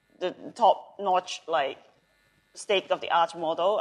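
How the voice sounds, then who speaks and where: At a moderate pace, a woman speaks with ordinary pitch variation. Her pitch is medium. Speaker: conference workshop instructor. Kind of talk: tutorial; casual chat. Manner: loud; many fillers, um and like.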